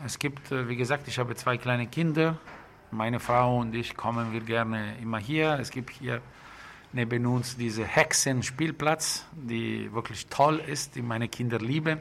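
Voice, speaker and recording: A man with an Italian accent, medium pitch and fairly even intonation, at a fairly slow pace. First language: Italian (speaking German). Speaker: bakery and restaurant owner. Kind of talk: casual interview. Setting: in a restaurant. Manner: halting. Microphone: muffled by face mask.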